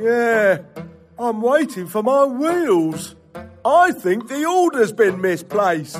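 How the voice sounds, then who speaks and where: The voice moves at a very slow pace with very wide pitch swings. Faint music plays in the background. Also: man, high pitch for a man. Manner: cheery, goofy.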